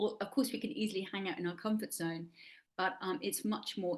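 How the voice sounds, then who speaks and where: Someone speaks at a moderate pace with an English accent. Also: woman. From England. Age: 60s. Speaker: actor and life coach. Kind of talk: interview.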